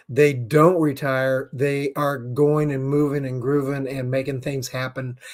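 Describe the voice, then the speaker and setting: A man with a fairly high pitch, flat monotone intonation, a fairly slow pace and hardly any pauses. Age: 60s. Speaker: business talk show host. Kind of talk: live-streamed talk show monologue. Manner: casual, with frequent fillers.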